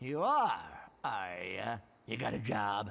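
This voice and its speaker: A man's put-on character voice stays at a medium pitch. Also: fairly slow pace. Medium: video game. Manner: gruff, sarcastic.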